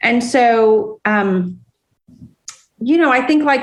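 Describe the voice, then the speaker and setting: A woman speaks in a plain, everyday voice, her fairly high pitch carried by lively intonation. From Iran, raised in US (Lafayette). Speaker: business executive. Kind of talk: interview.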